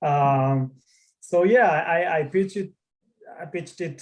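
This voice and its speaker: In a somewhat breathy voice with a non-native accent, the speaker talks at a fairly slow pace with ordinary pitch variation. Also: man. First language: not English. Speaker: tech founder. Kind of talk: interview. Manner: halting, many fillers.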